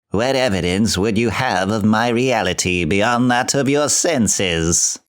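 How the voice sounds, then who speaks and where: A man puts on a character voice at a medium pitch and a fairly slow pace. The recording is very clean, with a silent background. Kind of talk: audiobook reading of classic literature.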